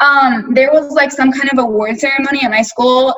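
A woman speaks at a moderate pace with an American accent, her high-pitched voice bright and sharp in tone, with ordinary pitch variation. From rural Texas (Sealy). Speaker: panel guest, college student. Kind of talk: panel discussion.

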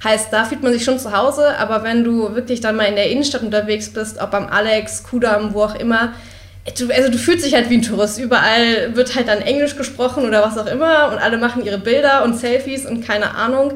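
Amid noticeable background noise and audible room echo, a woman speaks at a fairly high pitch with fairly even intonation. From Berlin. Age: 20s. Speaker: university student. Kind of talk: casual interview.

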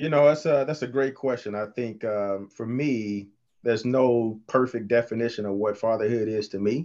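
A normal speaking voice from a man at medium pitch, moderate pace and fairly even intonation, over a quiet background. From Texas. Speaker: panel guest, father. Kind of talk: casual panel discussion.

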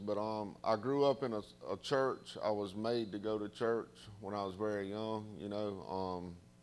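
At a fairly slow pace, a man with a Southern US accent speaks in a fairly low pitch. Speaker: guest speaker sharing recovery testimony. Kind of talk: testimony. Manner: halting, many fillers.

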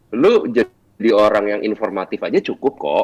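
A man's voice with a dry, close sound with no echo. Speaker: radio announcer and voice-over talent. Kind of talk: casual chat.

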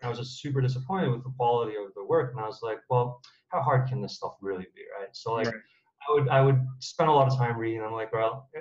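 A very fast, somewhat breathy man's voice with an American accent, medium pitch, fairly even intonation, big swings in loudness and hardly any pauses. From United States. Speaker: startup founder. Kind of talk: interview.

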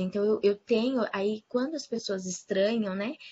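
A woman's somewhat breathy voice sits at a medium pitch with ordinary pitch variation. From Paraná, Brazil. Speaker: lawyer. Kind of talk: casual panel discussion. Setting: online video call.

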